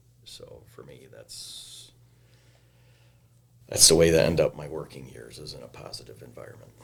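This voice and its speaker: Speaking at a moderate pace, a man leaves long, frequent pauses and makes big swings in loudness. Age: 60s. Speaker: retired sheriff's deputy working in a school. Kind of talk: casual interview.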